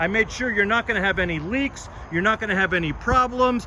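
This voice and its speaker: Over noticeable background noise, a man with a high pitch speaks in a raised, projected voice with an animated tone and ordinary pitch variation. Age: 60s. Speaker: classic car dealer and mechanic. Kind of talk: sales pitch.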